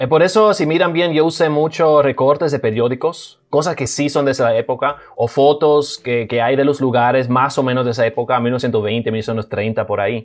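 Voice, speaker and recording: This man has an unremarkable speaking voice, fairly high in pitch, with ordinary pitch variation. He talks at a moderate pace with hardly any pauses. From Germany, raised in Cibao, Dominican Republic from age 13. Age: young. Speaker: documentary maker and video producer. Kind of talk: casual interview. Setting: remote call.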